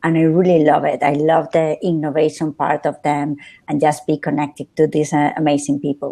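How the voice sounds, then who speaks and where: Against a quiet background, a woman talks at a fairly quick pace. Her very deep, low voice has a dark, mellow tone and monotone, flat intonation. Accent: Spanish. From northern Spain, Santander. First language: Spanish. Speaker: social media strategist. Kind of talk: interview.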